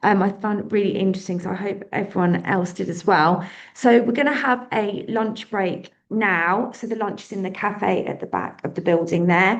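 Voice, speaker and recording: With audible room echo, a woman with a British accent speaks with hardly any pauses. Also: medium pitch for a woman, ordinary pitch variation. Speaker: charity event organiser. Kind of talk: event announcements. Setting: conference room with audience. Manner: fast.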